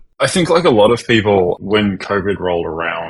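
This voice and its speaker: Pitch shifts in the usual way as a man delivers his words at a medium tempo. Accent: Australian. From Australia, Melbourne. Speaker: cloud architect. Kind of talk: podcast interview.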